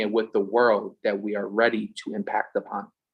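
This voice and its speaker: A man speaks with a strong Philadelphia accent. The background is quiet. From US, Philadelphia. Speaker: religious brother, event co-host. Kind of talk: closing remarks of online event. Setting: Zoom call.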